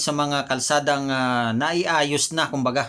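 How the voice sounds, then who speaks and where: Speaking fairly slowly, a man uses a fairly high pitch with a bright, sharp tone and fairly even intonation. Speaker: YouTube political commentator. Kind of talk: online video commentary. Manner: halting, frequent fillers.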